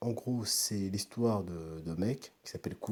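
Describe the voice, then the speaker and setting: Soft-spoken, a man talks at a fairly low pitch with lively intonation. His tone is dark and mellow. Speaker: youtuber. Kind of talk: casual review. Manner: halting.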